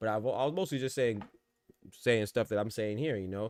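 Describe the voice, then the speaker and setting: The man speaks with a medium pitch and ordinary pitch variation. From New York. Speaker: boxing podcast host. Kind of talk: casual live-stream commentary. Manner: fast talker; halting, many repeated words.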